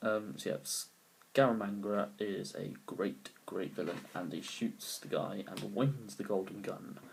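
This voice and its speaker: This quiet voice with a British accent moves at a fairly slow pace. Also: man. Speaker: amateur film reviewer. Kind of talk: casual movie review to camera. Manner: quiet, low volume; hesitant, many fillers.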